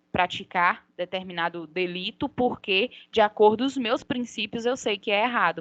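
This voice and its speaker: With no echo in a dry, close sound, a woman talks using ordinary pitch variation. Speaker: law lecturer. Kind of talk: lecture. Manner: halting.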